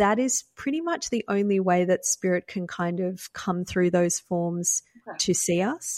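A woman with an Australian accent speaks at a fairly slow pace and medium pitch, on a very clean recording with a silent background and a dry, close sound with no echo. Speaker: psychic medium and spiritual teacher. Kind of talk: podcast interview.

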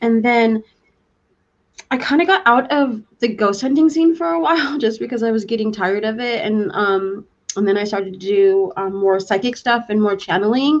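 An ordinary speaking voice with lively intonation, delivered at a moderate pace. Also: woman, fairly high pitch for a woman. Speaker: author and psychic. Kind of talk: interview.

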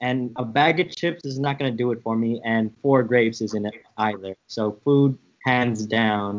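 In a plain, everyday voice with an American accent, a man speaks at a medium pitch and a fairly slow pace, with ordinary pitch variation and hardly any pauses. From San Francisco, US. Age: 20s. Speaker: podcast host, guest. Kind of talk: casual chat.

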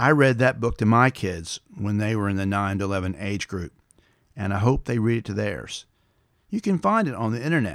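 With a Tennessee accent, a man talks at a fairly quick pace and fairly low pitch with ordinary pitch variation, in a very clean recording with a silent background. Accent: Southern US (Tennessee). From West Tennessee, US South. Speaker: podcast host and storyteller. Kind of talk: nostalgic storytelling monologue. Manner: casual, folksy.

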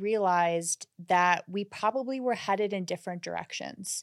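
On a very clean recording with a silent background, a woman with an American accent uses an ordinary speaking voice at medium pitch, with fairly even intonation and a dry, close sound with no echo. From US Midwest, Minnesota. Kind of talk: casual chat.

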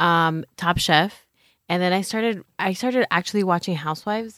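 In a very clean recording with a silent background and a dry, close sound with no echo, a woman with a Californian accent speaks at a moderate pace, her pitch fairly low with ordinary variation. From Los Angeles, San Fernando Valley. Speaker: abolitionist thinker. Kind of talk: casual chat. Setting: studio. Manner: halting, many fillers.

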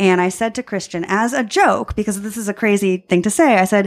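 A woman with an American accent. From US Northeast, Long Island, New York. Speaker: magician. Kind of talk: casual chat. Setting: in-person conversation.

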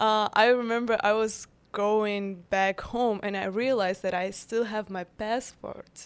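Speaking with a Ukrainian accent, a woman delivers fairly high-pitched, monotone, flat speech at a fairly slow pace with hardly any pauses. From Ukraine. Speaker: bakery founder guest. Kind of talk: casual interview chat.

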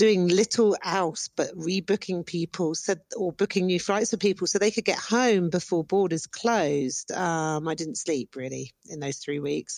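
In a British accent, a woman with a fairly low pitch speaks at a fairly slow pace with ordinary pitch variation, the sound dry and close with no echo. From Britain. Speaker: corporate travel agent. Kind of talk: voice message.

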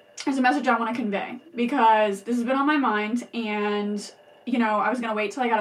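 A woman talks at a fairly high pitch in an animated tone. Audible room echo and noticeable background noise are present. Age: 20s. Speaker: podcast host sharing personal recovery story. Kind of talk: personal monologue.

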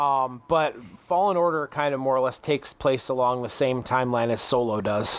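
An ordinary speaking voice at a fairly quick pace, with very even loudness and ordinary pitch variation. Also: man, medium pitch for a man. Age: 30s. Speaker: gaming podcast host. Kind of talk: casual chat.

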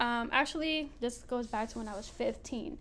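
Animated and high-pitched, a woman talks with a Philadelphia accent and ordinary pitch variation. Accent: Philadelphia American. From Philadelphia, US. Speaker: podcast host, Navy veteran. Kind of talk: casual monologue. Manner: animated, frequent laughter.

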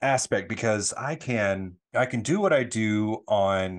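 A plain, everyday voice with an American accent, ordinary pitch variation and a quiet background. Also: man. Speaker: hairstylist and social media creator. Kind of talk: casual interview.

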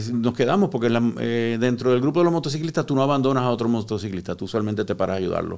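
A man's plain, everyday voice, with ordinary pitch variation, on a very clean recording over a silent background. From Puerto Rico (born in Cuba). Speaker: psychotherapist, recovered addict. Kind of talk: personal testimony in interview. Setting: studio.

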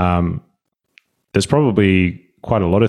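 His pitch sits fairly low for a man, with ordinary variation. The recording is very clean, with a silent background. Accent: Australian. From Australia, Sydney. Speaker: fitness coach. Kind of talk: casual interview chat.

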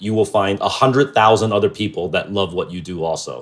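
The recording is very clean with a silent background. A man with a fairly low pitch speaks fairly quickly in a New Jersey accent, with ordinary pitch variation. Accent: American (New Jersey). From New Jersey, US. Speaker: creative director and entrepreneur. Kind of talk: casual chat.

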